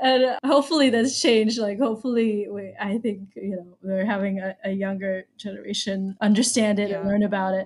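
Talking at a fairly quick pace with hardly any pauses, a woman with an ordinary speaking voice and an American accent uses a medium pitch and ordinary pitch variation. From US, Baltimore, Maryland. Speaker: arts education consultant and teaching artist. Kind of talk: interview conversation.

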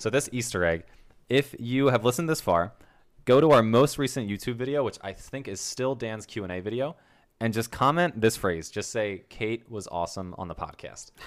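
A man speaks in a plain, everyday voice at a medium pitch and moderate pace. His intonation is lively, and the recording is very clean with a silent background. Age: 30s. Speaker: podcast host. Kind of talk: casual chat.

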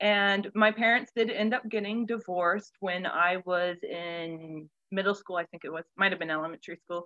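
Bright and sharp in tone, a woman with an American accent is heard in a dry, close sound with no echo. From Central Florida. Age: 20s. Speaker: children's pastor. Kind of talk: casual interview. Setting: remote recording from home.

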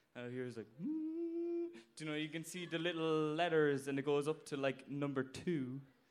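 A man's fairly high voice in a Cork accent, fairly even in intonation, at a moderate pace. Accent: Cork Irish. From Ireland, Cork (Blarney). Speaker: audience member telling a story. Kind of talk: story told at a live show. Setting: stage with audience.

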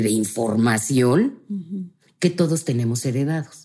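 This woman has a very deep, low pitch and a dark, mellow tone. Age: 50s. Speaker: family constellation therapist. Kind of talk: casual interview.

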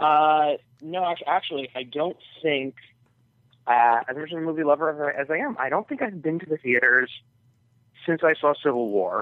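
A plain, everyday voice from a man with an American accent, fairly high pitch, ordinary pitch variation and a moderate pace. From New York. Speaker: caller. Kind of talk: casual chat. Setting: phone call.

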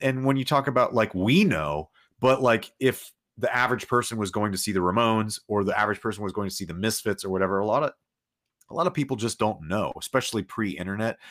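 Very fast, lively speech from a man at a medium pitch, in a very clean recording with a silent background. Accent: American. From Los Angeles, US. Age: 30s. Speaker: rock musician. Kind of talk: casual chat.

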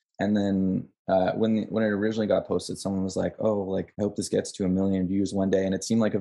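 A man with a Canadian accent speaks very fast in a monotone, flat delivery. His tone is dark and mellow, at a fairly low pitch. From Canada, Ottawa. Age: 20s. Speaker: film student and documentary maker. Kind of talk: casual chat interview.

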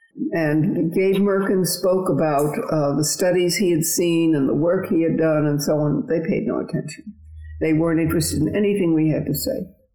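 Against noticeable background noise, a woman with a fairly low pitch speaks at a moderate pace with ordinary pitch variation. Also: very even loudness. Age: 80s. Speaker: retired marathon champion. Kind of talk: interview, recounting personal story.

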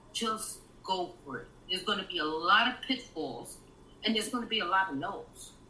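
A woman talks with lively intonation in a room with audible echo. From New York, East Harlem. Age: 50s. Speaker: author and screenwriter. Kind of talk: interview conversation.

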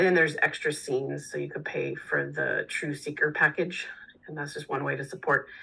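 A woman with an American accent, at a moderate pace. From Texas. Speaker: musician. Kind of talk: casual chat.

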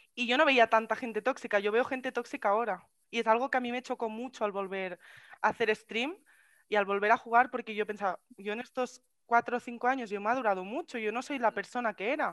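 Speaking at a very fast pace in a Castilian accent, a woman keeps fairly even intonation in a dry, close sound with no echo. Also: fairly high pitch for a woman, quiet background. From Spain. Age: 20s. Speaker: streamer. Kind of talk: casual chat.

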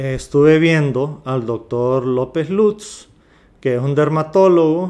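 Speaking very slowly, a man uses a fairly high pitch. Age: 40s. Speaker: podcast host. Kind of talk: reading aloud; casual monologue. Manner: halting.

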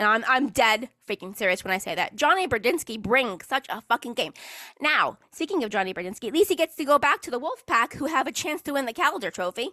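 This voice has a bright, sharp tone, very wide pitch swings and a very fast pace. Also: woman, high pitch for a woman. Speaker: hockey fan podcaster. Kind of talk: angry rant. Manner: fired-up, scolding, ranting.

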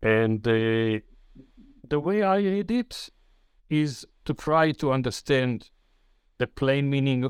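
A man with an Israeli accent is heard in a dry, close sound with no echo on a very clean recording with a silent background. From Israel, Jerusalem. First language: Hebrew. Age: 70s. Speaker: author and retired banker. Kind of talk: interview. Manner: halting.

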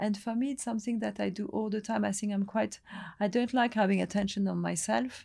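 A woman talks at a fairly quick pace with a medium pitch and ordinary pitch variation. Her tone is dark, mellow and somewhat breathy. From Lebanon, French family. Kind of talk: interview. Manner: halting.

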